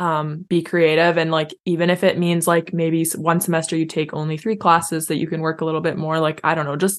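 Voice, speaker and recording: With a Canadian accent and a plain, everyday voice, a woman of fairly low pitch speaks at a fairly quick pace over a quiet background. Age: 20s. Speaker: teacher. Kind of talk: casual chat.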